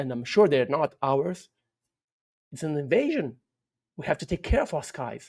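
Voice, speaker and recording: Speaking at a fairly slow pace, a man with a Portuguese accent has a fairly high pitch. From Brazil. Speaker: UFO researcher. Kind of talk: interview. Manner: halting, many repetitions and fillers.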